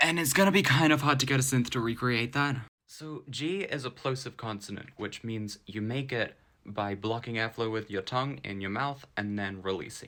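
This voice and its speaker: Lively intonation comes with a bright, sharp tone. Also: man, medium pitch for a man, moderate pace, very clean recording, silent background. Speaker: music producer, sound designer. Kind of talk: tutorial.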